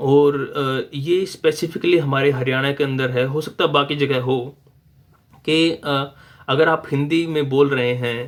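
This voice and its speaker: A man talks in a Haryanvi accent with fairly even intonation. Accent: Haryanvi-accented Hindi. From Haryana, India. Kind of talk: casual talk to camera.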